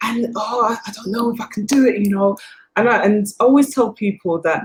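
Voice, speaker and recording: A woman with a British accent, fairly high pitch, fairly quick pace, and fairly even intonation. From England. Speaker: filmmaker. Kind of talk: panel interview. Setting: on location, not in studio.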